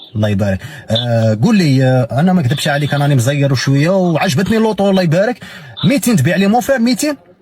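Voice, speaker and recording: A man speaks very fast at a fairly high pitch with very wide pitch swings and very even loudness. Noticeable background noise runs underneath. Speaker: prank caller content creator. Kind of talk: casual address to viewers; prank phone call. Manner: disguised voice and dialect on calls.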